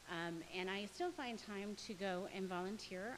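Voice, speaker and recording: This woman has a normal speaking voice, a medium pitch and ordinary pitch variation. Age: 30s. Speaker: member of the public giving testimony. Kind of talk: public hearing testimony.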